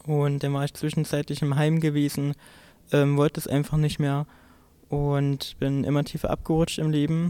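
A man speaks at a fairly high pitch with a dark, mellow tone. His pace is moderate and his intonation monotone and flat. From Saxony-Anhalt, eastern Germany. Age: young. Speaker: trainee and LGBTQ activist. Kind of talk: personal interview testimony. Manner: halting.

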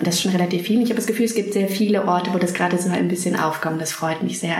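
There is noticeable background noise around a woman's voice. The room adds audible echo. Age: 30s. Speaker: playwright. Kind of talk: interview. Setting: theatre building. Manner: halting, many fillers.

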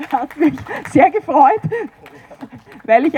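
A woman talks at a moderate pace, her dry, close sound carrying no echo over noticeable background noise. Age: 50s. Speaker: environmental activist. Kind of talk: panel discussion.

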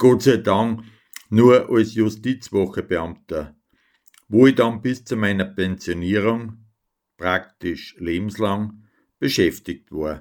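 A man talks at a very slow pace in a fairly low pitch. His pitch varies in an ordinary way, with long, frequent pauses. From Upper Austria, near Linz. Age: 60s. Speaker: dialect poet and retired civil servant. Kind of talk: radio show with poetry reading.

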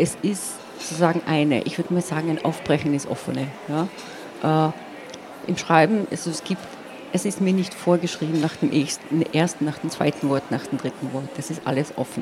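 At a moderate pace, a woman speaks with a very deep, low pitch and ordinary pitch variation over noticeable background noise. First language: Slovene (speaking German). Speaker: poet. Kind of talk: interview. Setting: stage at a book fair. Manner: hesitant, many filler sounds.

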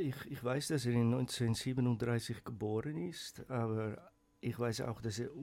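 A man speaks with a Dutch accent at a medium pitch. His pitch varies in an ordinary way. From Netherlands. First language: Dutch (speaking German). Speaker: writer and poet. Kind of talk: casual radio chat. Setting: radio studio.

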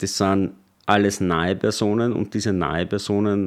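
Against a quiet background, a man with a fairly low pitch speaks at a moderate pace in a monotone, flat way. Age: 30s. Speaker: party spokesman. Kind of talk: interview.

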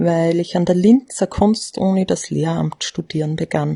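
Somewhat breathy with a dark, mellow tone, a woman speaks at a fairly slow pace in a dry, close sound with no echo. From Austria, Graz area. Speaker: teacher. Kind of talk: personal statement.

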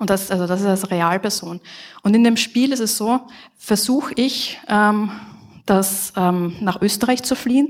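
An unremarkable speaking voice with ordinary pitch variation. The pace is fairly slow. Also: woman, medium pitch for a woman. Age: 30s. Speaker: game development professor. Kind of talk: conference talk.

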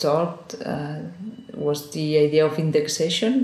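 A woman with a very deep, low pitch is heard with audible room echo. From Spain, Girona (Catalonia). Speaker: artist. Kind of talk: interview. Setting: office. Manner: halting. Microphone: poor sound quality.

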